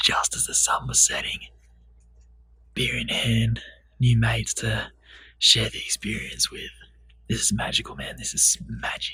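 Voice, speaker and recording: In a raspy, whispered, put-on character voice, the speaker goes at a moderate pace with long, frequent pauses. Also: man. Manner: whispering.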